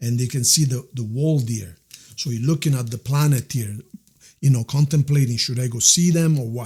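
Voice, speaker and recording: Speaking with an Italian accent, a man uses a medium pitch and a warm, somewhat breathy tone. His intonation is lively and his pace moderate. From Italy. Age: 60s. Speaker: tarot reader. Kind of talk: tarot reading. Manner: warm, conversational.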